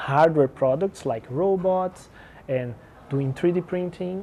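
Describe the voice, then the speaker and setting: Noticeable background noise accompanies speech whose pitch varies in an ordinary way. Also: man. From Brazil. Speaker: startup accelerator director. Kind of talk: interview.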